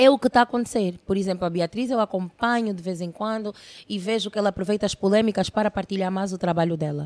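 Very fast and animated, a woman talks with ordinary pitch variation in a dry, close sound with no echo. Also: medium pitch for a woman, very clean recording, silent background. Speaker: internet personality. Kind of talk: casual interview chat.

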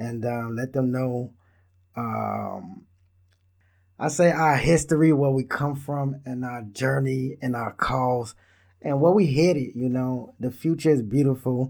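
A man at medium pitch, fairly even in intonation and fairly slow in pace, on a very clean recording with a silent background. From Israel, Hebrew Israelite community in Dimona, US-born parents. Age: 30s. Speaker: podcast host. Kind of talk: casual monologue. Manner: filler-heavy, relaxed.

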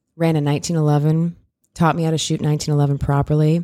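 Very fast and monotone, a woman speaks with a very deep, low pitch and a dark, mellow tone. The recording is very clean with a silent background. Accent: American. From US Midwest. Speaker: firearms instructor. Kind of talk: casual interview.

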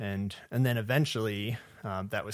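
A man with an American accent speaks in a normal speaking voice. His pitch is fairly low and his pace moderate. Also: very clean recording, silent background. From southwest Michigan. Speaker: wildlife ecology graduate student. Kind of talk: interview.

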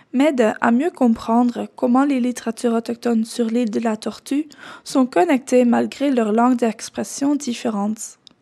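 A woman with a Dutch accent speaks at a high pitch with a dark, mellow tone. Her pace is fairly slow. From Netherlands. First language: Dutch (speaking French). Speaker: doctoral researcher. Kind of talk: scripted narration.

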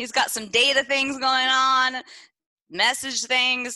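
With a Texan accent, a woman speaks at a fairly slow pace in a high voice with a bright, sharp tone. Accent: Texan Southern US. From East Texas. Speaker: podcast co-host. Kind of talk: casual chat. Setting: studio.

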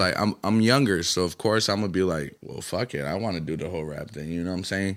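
A man talks with lively intonation. The recording is very clean, with a silent background. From US South, Atlanta (born in Colombia). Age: 20s. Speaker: rapper. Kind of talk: casual chat.

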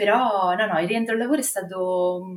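This woman has a fairly low pitch and talks at a fairly quick pace. She speaks with a slight Marche accent. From Marche, Italy. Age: 30s. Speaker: mother sharing birth story. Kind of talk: testimony. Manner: halting.

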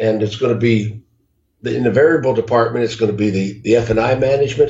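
Man with an American accent at medium pitch, somewhat breathy, moderate pace and fairly even intonation. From US South, Jacksonville, Florida. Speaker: car dealership consultant. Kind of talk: interview.

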